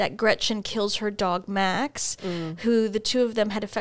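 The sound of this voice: Reading done in an unforced voice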